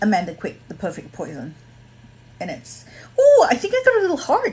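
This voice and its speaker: A woman with an American accent speaks, her pitch swinging very widely. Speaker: social media creator. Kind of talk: casual livestream chat. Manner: rambling, hesitant.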